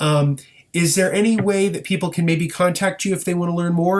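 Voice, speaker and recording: A high-pitched man with a Midwestern American accent, at a moderate pace, his intonation fairly even. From US Midwest. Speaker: podcast host. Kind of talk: interview.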